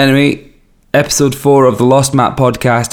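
A man speaks with a Scottish accent. His pace is fairly slow. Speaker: podcast host and record label owner. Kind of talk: casual podcast monologue. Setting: recording away from home, in a city. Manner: chatty, self-deprecating.

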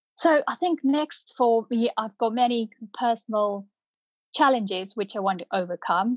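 In a Punjabi accent, a woman speaks at a fairly slow pace, the sound dry and close with no echo and a quiet background. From northern India (Punjab), moved to UK 1997. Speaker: property developer and management consultant. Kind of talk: podcast interview.

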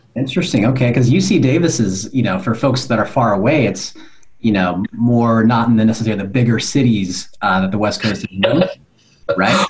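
The speaker uses an ordinary speaking voice at a fairly quick pace. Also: man, medium pitch for a man, ordinary pitch variation. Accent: American. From California. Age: 40s. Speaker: podcast host. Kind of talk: interview.

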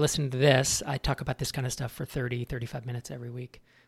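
A man with vocal fry and an American accent speaks at a very fast pace in a very clean recording with a silent background. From California. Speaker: startup founder and investor. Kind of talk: interview conversation.

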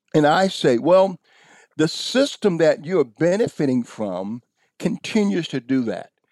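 With a dark, mellow tone and lively intonation, a man talks at a fairly slow pace in a dry, close sound with no echo, on a very clean recording with a silent background. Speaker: pastor. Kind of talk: interview conversation. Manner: passionate.

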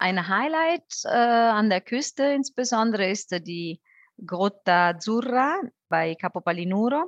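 A woman with an Italian accent speaks at a very slow pace in a fairly high voice full of very wide pitch swings, against a quiet background with a dry, close sound and no echo. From southern Italy, Campania (Benevento). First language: Italian (speaking German). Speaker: tourism board representative. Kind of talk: casual interview.

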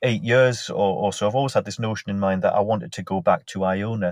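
A man speaks with a Northumbrian accent and fairly even intonation. The sound is dry and close, with no echo. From northern England, Northumberland. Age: 40s. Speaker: mental health nurse. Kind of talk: casual interview.

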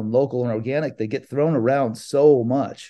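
The speaker is a man. Ordinary pitch variation shapes his speech. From California. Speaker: aquaponic farmer. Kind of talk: interview. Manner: halting.

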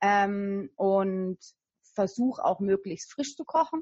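The voice belongs to a woman with medium pitch. It sounds somewhat breathy. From Franconia, Germany (Nuremberg). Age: 30s. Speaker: weight loss coach. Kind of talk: interview.

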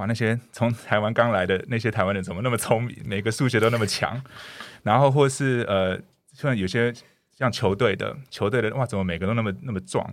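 A man speaks fairly quickly at a medium pitch with ordinary pitch variation. The recording is very clean, with a silent background. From Canada. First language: English (speaking Chinese). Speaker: dentist. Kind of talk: interview. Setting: studio. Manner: hesitant with frequent fillers.

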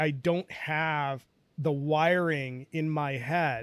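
The man has an ordinary speaking voice with a fairly high pitch and fairly even intonation. It is a very clean recording with a silent background. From India, moved to US as a child. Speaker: talent strategist and researcher. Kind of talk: interview.

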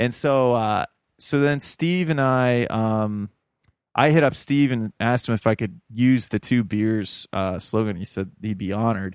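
A man with a Midwestern American accent speaks at a medium pitch with ordinary pitch variation, in dry, close sound with no echo on a very clean recording with a silent background. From Ohio (Toledo). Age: 30s. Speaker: podcaster and urban farmer. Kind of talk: casual interview chat.

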